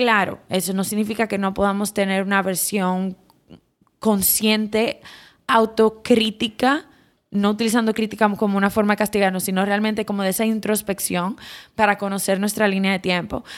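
A woman with a Dominican accent, medium in pitch and monotone and flat in intonation, in a very clean recording with a silent background. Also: moderate pace. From Dominican Republic. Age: 30s. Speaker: psychotherapist and podcast host. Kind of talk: reflective solo podcast talk.

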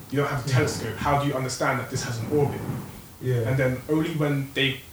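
A man speaks at a very fast pace in a medium pitch. Noticeable background noise runs behind him. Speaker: podcast panelist. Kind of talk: heated group debate. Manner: fast, emphatic, interrupting.

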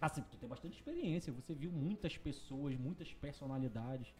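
Somewhat breathy, a man talks at a moderate pace in a fairly high voice with a dark, mellow tone and ordinary pitch variation. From Parintins, Amazonas, northern Brazil. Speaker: podcast host. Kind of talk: casual interview chat.

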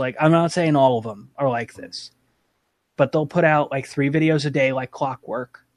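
A man talks with fairly even intonation at a fairly high pitch. His is a plain, everyday voice. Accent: American. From New York / New Jersey area. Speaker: content creator. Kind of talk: casual chat.

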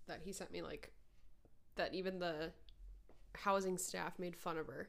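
Speaking in an American accent at a fairly slow pace, a woman keeps a medium pitch and a monotone, flat intonation, leaving long, frequent pauses amid audible room echo. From northern Minnesota. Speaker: podcast co-host. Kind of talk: casual chat.

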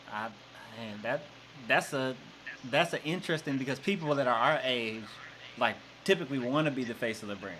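A man's medium-pitched voice with a Southern US accent, bright and sharp in tone, ordinary pitch variation, a fairly quick pace, and long, frequent pauses. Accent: US South. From Arkansas. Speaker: podcast host and coach. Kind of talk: casual chat.

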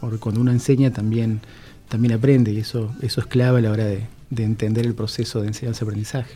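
A man with a dark, mellow tone and a somewhat breathy voice speaks at a medium pitch and a very fast pace, his intonation monotone and flat. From Argentina, Misiones (Posadas). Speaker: university vice dean and dean candidate. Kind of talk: radio interview. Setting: radio studio.

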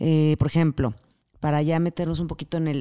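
A woman with a very deep, low pitch and a dark, mellow tone is heard on a very clean recording with a silent background, the sound dry and close with no echo. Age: 40s. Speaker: yoga teacher and wellness coach. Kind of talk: interview.

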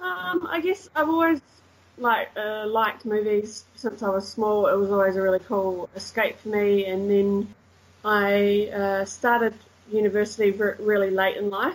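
A woman speaks with a slight New Zealand accent. Her pace is fairly slow. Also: medium pitch for a woman, ordinary pitch variation. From New Zealand, Christchurch. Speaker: English teacher and tour guide. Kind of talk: casual chat. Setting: remote call.

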